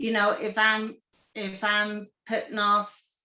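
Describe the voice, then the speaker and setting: The woman's pitch is medium. She speaks at a very slow pace. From Kentucky. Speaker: psychic medium and small business owner. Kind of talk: casual interview.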